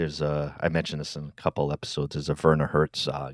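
A voice with an American accent, dry and close with no echo. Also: man. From Rhode Island, US. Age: 50s. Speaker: podcast host. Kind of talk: casual interview conversation.

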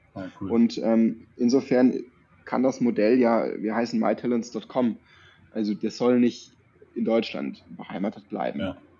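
Vocal fry runs through a man's dark, mellow voice, pitched medium and delivered at a fairly slow pace. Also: ordinary pitch variation. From northern Baden near Würzburg (Tauberbischofsheim area). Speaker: startup co-founder and managing director. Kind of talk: casual interview. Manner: relaxed, frequent fillers.

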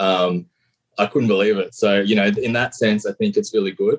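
Recorded in a dry, close sound with no echo, a man with an Australian accent talks at a moderate pace. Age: 30s. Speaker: caller.

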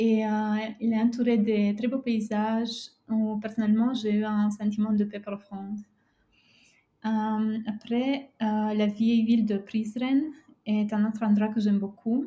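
Speaking at a very slow pace with long, frequent pauses, a woman uses a fairly high pitch, monotone, flat intonation and a dark, mellow, somewhat breathy tone. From Romania, near former Yugoslav border. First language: Romanian and Serbian (speaking French). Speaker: travel writer. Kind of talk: interview. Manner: halting.

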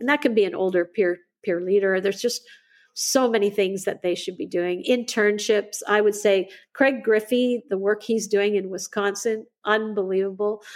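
A woman speaks at a moderate pace in a medium pitch. Her intonation is fairly even. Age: 60s. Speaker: educator and school founder. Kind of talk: interview. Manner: halting.

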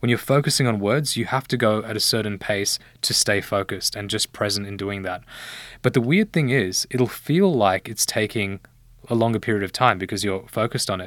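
A speaker with an Australian accent talks at a fairly quick pace with ordinary pitch variation, recorded very cleanly against a silent background. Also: man, fairly low pitch for a man. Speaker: medical doctor turned healthcare investor. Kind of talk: casual interview.

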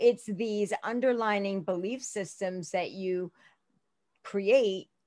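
In an American accent, a woman with a normal speaking voice and a medium pitch talks at a fairly slow pace with fairly even intonation over a quiet background. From US Northeast, Philadelphia (Northeast Philadelphia), Indian family. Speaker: realtor and life coach. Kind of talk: casual chat.

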